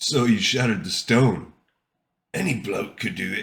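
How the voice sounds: A put-on character voice from a man, raspy and medium-pitched, at a moderate pace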